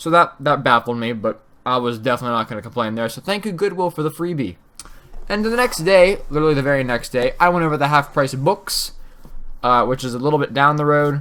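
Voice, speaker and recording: A man speaks at a very fast pace with lively intonation. His tone is bright and sharp. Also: fairly high pitch for a man. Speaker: gaming YouTuber. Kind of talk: casual vlog commentary.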